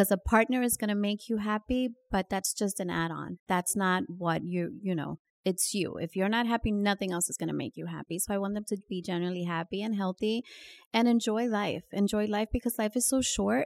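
With a Californian accent, a woman of medium pitch speaks fairly quickly with ordinary pitch variation, on a very clean recording with a silent background and a dry, close sound with no echo. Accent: Californian-sounding American English. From New York. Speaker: real estate broker. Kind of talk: interview.

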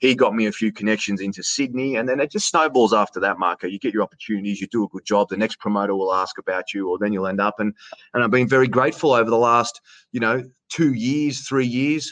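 A man with an Australian accent talks at a very fast pace in a medium-pitched voice with ordinary pitch variation. The sound is dry and close, with no echo. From Australia, Canberra region. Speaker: sports announcer. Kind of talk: casual interview chat.

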